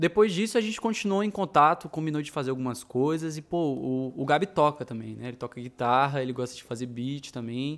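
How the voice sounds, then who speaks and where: The recording is very clean, with a silent background. A man with a fairly high pitch talks at a fairly quick pace with lively intonation. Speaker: musician, guitar teacher. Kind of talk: casual chat. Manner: loud.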